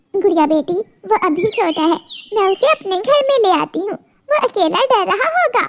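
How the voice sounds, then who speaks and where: In a cartoonish character voice, a woman speaks at extremely high pitch with very wide pitch swings, in a dry, close sound with no echo. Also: moderate pace. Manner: gentle, motherly.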